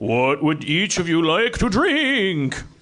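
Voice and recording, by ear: In a put-on character voice with a Transylvanian accent, the speaker goes at a fairly slow pace. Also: man, high pitch for a man.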